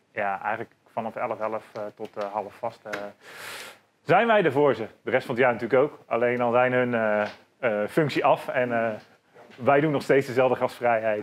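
A moderate pace with ordinary pitch variation and long, frequent pauses. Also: man. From Netherlands, North Brabant ('s-Hertogenbosch). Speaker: bar owner; podcast guest. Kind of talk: casual interview. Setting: in his bar. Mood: relaxed, cheerful. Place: bar.

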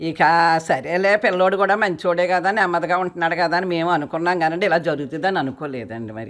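Captured in a very clean recording with a silent background, a woman uses a normal speaking voice in a fairly low pitch with ordinary pitch variation. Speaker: self-help group member, fraud victim. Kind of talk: street interview.

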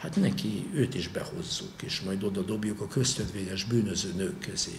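A man at a moderate pace with very wide pitch swings, audible room echo and light background noise. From Hungary. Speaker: historian and university lecturer; university lecturer. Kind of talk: lecture. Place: hall. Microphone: podium.

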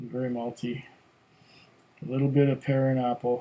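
A man talks at a fairly slow pace in a medium-pitched voice. He sounds somewhat breathy. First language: German. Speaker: whisky tasting video host. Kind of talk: casual solo tasting review. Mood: relaxed, thoughtful. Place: home room.

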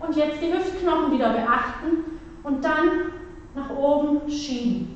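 A woman speaks at a high pitch and a very slow pace. Strong room echo surrounds her voice. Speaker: fitness instructor. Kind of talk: exercise class instruction. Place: gym.

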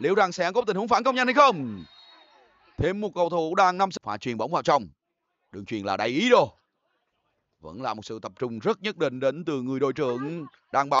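A man speaks fairly quickly at a fairly high pitch, with very wide pitch swings. His loudness shifts a lot, and he pauses long and often. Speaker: football commentator. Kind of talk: live football match commentary.

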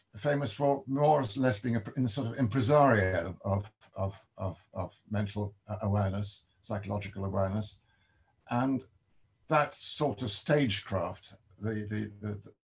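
The voice is somewhat breathy at a moderate pace. Its pitch varies in an ordinary way. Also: man, fairly low pitch for a man. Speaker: guest. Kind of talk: interview answer. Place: home room. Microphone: video call.

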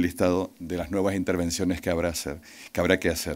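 A man talks at a very fast pace in a very deep, low voice. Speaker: regional politician. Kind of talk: ceremonial speech. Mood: friendly, joking. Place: hall. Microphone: podium.

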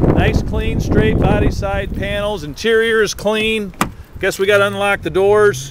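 Over loud background noise, a man with an American accent speaks fairly slowly in a high voice, the sound dry with no echo. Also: ordinary pitch variation. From US Midwest. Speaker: car salesman. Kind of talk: car dealership video pitch, walkaround sales pitch. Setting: outdoors at a car lot, then inside the car. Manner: upbeat, salesy, chatty; improvised, breezy walkaround patter.

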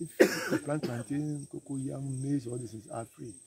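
Over light background noise, a man with a Ghanaian accent speaks with fairly even intonation in a dry sound with no echo. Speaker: farmer and former military officer. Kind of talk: interview answer. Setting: outdoors. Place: farm machine. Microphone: phone near.

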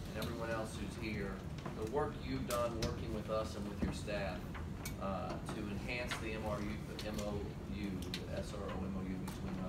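A man talks at a moderate pace. Loud background noise runs behind him. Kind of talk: formal meeting remarks. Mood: appreciative, warm. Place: meeting room.

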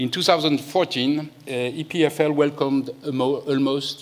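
As he speaks, the man's pitch rises and falls in an ordinary way. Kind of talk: opening speech. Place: hall. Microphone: podium.

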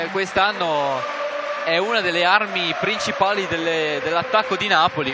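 Projecting a raised voice at a fairly slow pace, a man speaks in a high pitch with ordinary pitch variation, amid noticeable background noise and audible room echo. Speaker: basketball play-by-play commentator. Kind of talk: live commentary.

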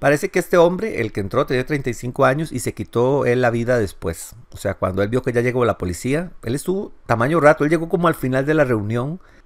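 Recorded very cleanly against a silent background, a man uses an ordinary speaking voice at medium pitch, moving at a moderate pace with lively intonation. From Costa Rica. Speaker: ex-Jehovah's Witness YouTuber. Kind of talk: news commentary monologue.

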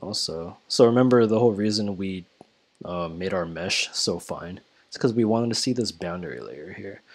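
A man with a fairly low pitch, ordinary pitch variation and a moderate pace. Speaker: engineering student. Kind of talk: tutorial. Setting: home recording with headset. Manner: casual, hesitant with many fillers. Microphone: headset.

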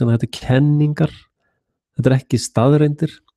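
Against a quiet background, a man speaks with a dark, mellow tone. His intonation is fairly even. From Iceland. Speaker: independent internet show host. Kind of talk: solo monologue commentary. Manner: halting. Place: home room. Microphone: studio mic.

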